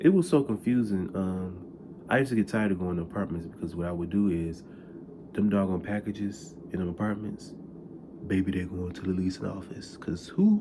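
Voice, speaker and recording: Soft-spoken and with a dark, mellow tone, a man talks at a fairly quick pace in a very deep, low pitch with ordinary pitch variation. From US Midwest, Detroit. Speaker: vlogger, former delivery driver. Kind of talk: casual storytelling vlog. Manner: animated.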